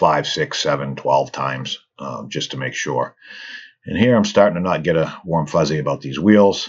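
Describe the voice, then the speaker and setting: With lively intonation and vocal fry, a man speaks at a moderate pace in a very deep, low voice. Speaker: toy car customizer. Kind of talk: casual hobby tutorial narration. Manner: casual, hesitant with fillers.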